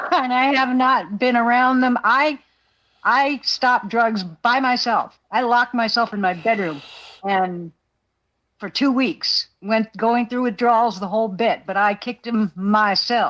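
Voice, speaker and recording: A woman speaks at a fairly slow pace in an ordinary speaking voice. Her pitch is fairly high with ordinary variation, over a very clean recording with a silent background. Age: 60s. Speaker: livestream panelist. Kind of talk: casual chat.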